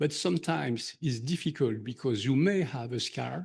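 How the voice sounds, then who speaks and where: Over a quiet background, a man with a medium pitch and vocal fry speaks at a moderate pace with ordinary pitch variation. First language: not English. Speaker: surgeon presenter. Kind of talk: conference Q&A. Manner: halting.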